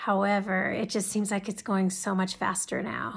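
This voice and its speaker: Recorded very cleanly against a silent background, a woman talks at a moderate speed. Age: 50s. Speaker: teacher and entrepreneur starting a personal video channel. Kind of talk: personal introduction monologue. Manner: conversational with frequent hesitations.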